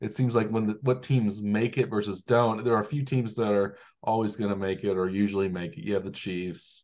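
In a normal speaking voice, a man talks at a fairly quick pace and fairly low pitch with fairly even intonation, the background quiet. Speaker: podcast host. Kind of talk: casual sports chat.

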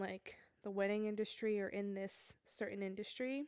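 Speaking at a fairly slow pace, a woman uses an unremarkable speaking voice at a fairly high pitch, recorded with a dry, close sound and no echo. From New Jersey. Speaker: podcast co-host, photographer. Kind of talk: casual chat.

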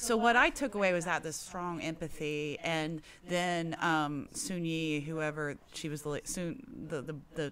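With a plain, everyday voice, a woman of fairly low pitch speaks at a fairly slow pace with ordinary pitch variation and hardly any pauses. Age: 40s. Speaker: guest panelist. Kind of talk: casual chat.

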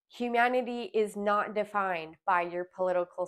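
In a very clean recording with a silent background, a woman with a Canadian accent uses a normal speaking voice, fairly even intonation and a fairly slow pace. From Alberta, Canada. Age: 30s. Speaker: podcast host, lifeguard instructor. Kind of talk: personal monologue. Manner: casual, conversational.

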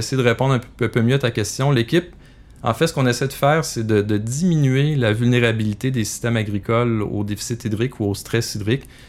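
A man with a Quebec accent, fairly quick pace and ordinary pitch variation. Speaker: agronomist and researcher. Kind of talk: interview. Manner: halting.

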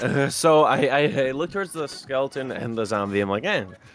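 With music playing behind him, a man speaks at a moderate pace with lively intonation. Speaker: tabletop roleplaying game player. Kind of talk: casual, profane.

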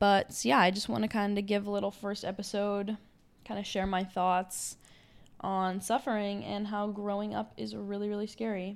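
The speech moves at a moderate pace in a very clean recording with a silent background. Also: woman, medium pitch for a woman. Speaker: podcast host, college student. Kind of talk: casual solo monologue. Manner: loud; animated.

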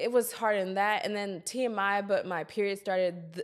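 A woman's unremarkable speaking voice, medium in pitch, with an American accent, moderate pace and ordinary pitch variation, on a very clean recording with a silent background. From Columbia, South Carolina, US South. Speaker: podcast host. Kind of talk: casual interview.

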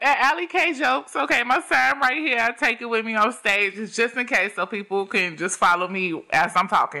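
Noticeable background noise sits behind the speaker. A woman with a fairly high pitch talks at a moderate pace. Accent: American. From Chicago. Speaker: stand-up comedian. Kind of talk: casual chat.

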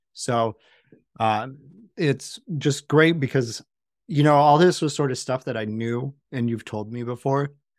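With a plain, everyday voice, a man speaks at a fairly slow pace and medium pitch. Pitch variation is ordinary, and the recording is very clean with a silent background. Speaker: podcast host, tattoo artist. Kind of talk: casual interview.

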